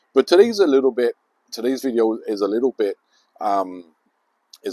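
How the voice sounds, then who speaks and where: A man speaks with a London accent. The sound is dry and close, with no echo. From southeast London. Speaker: YouTuber. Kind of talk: personal storytelling. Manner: halting, many fillers.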